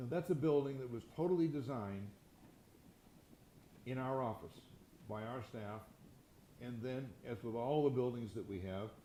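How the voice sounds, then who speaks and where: A man talks at a medium pitch and moderate pace with ordinary pitch variation and long, frequent pauses. Room echo is audible. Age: 80s+. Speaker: real estate entrepreneur and philanthropist. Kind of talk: fireside chat interview. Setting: stage with audience. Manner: halting, frequent repetitions.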